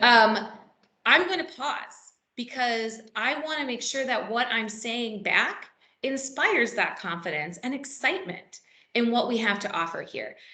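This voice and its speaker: A woman with a fairly high pitch and lively intonation speaks amid audible room echo. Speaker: real estate trainer. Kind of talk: workshop presentation. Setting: meeting room with live and virtual audience.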